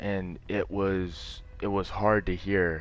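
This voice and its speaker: With music in the background, a man speaks in a calm tone at a fairly low pitch. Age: 20s. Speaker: gamer streamer. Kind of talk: casual chat.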